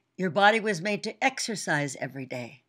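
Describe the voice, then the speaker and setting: A woman with a medium pitch and vocal fry talks at a fairly quick pace, her pitch swinging very widely, in a very clean recording with a silent background. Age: 80s+. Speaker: fitness icon and company head. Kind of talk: motivational talk.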